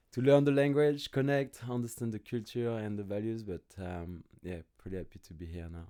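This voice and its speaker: Using lively intonation and big swings in loudness, a man with a dark, mellow tone talks at a moderate pace with hardly any pauses. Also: medium pitch for a man. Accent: French. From France, small village. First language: French. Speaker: fitness business owner. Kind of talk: podcast interview.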